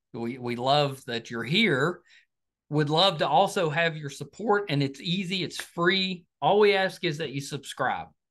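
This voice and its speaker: Against a quiet background, a man sounds enthusiastic, using lively intonation at a fairly slow pace. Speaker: podcast host. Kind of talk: interview. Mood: friendly, upbeat. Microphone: video call.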